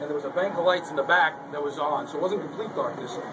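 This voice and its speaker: A man speaks in a high pitch with an American accent, his voice carrying audible room echo over noticeable background noise. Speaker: radio sports executive producer. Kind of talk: casual chat. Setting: football stadium broadcast booth. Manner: quiet.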